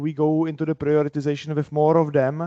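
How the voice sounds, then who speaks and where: Against a quiet background, a man's fairly high voice with a dark, mellow tone comes through dry and close, with no echo. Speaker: engineering leader at a bank, meetup speaker. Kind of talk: conference talk. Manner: loud.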